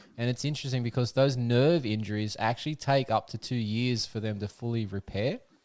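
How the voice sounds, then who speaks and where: In an Australian accent, the voice moves at a fairly quick pace with hardly any pauses and fairly even intonation against a quiet background. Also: man, medium pitch for a man. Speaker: podcast host. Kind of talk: casual chat. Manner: halting.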